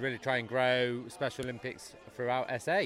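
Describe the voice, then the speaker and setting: A man with a British accent talks at a moderate pace in a bright, sharp tone at medium pitch. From UK. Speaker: sports development officer. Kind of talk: interview.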